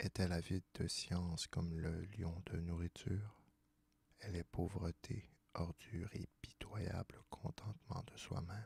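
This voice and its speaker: A soft-spoken man is whispering in a calm tone. The sound is dry and close with no echo, and his voice is somewhat breathy. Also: fairly slow pace. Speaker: ASMR reader. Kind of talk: soft-spoken ASMR philosophy reading. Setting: studio, close microphone. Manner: soft-spoken, whispery, calm.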